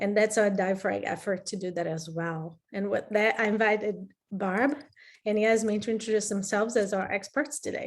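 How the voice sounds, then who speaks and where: A woman with a Brazilian accent, ordinary pitch variation and a moderate pace. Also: medium pitch for a woman. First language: Portuguese. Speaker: program director. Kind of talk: webinar presentation.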